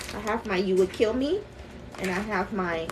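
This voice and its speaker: With noticeable background noise, a woman speaks at a fairly slow pace using lively intonation. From Liberia. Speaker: cooking streamer. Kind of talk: live cooking stream, casual chat.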